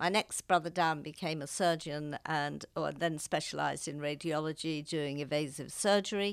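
A woman with a very deep, low pitch speaks at a moderate pace with hardly any pauses, on a very clean recording with a silent background. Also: fairly even intonation. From Liverpool, England. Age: 70s. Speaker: grandmother, retired lawyer. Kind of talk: casual interview chat. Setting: studio.

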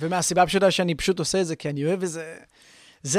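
On a very clean recording with a silent background, a man talks at a very fast pace. His intonation stays fairly even. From Israel, Haifa. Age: 20s. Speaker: DJ and music producer, student. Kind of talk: casual interview.

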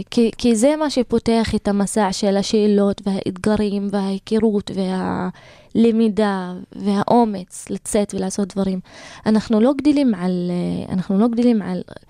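A woman with an Arabic accent speaks fairly slowly at a medium pitch in a dark, mellow tone, the sound dry and close with no echo on a very clean recording with a silent background. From Israel, Galilee (Druze community, Karmiel area). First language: Arabic (speaking Hebrew). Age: 20s. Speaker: lawyer and social activist. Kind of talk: interview. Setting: radio studio. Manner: halting.

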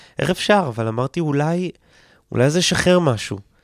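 On a very clean recording with a silent background, a man talks at a fairly quick pace with lively intonation, the sound dry and close with no echo. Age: 20s. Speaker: comedian and content creator. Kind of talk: casual interview. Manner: halting.

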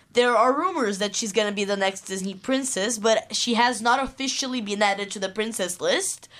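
This is a normal speaking voice with ordinary pitch variation. It moves at a fairly quick pace with hardly any pauses. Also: woman, fairly high pitch for a woman. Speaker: student radio co-host. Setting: studio.

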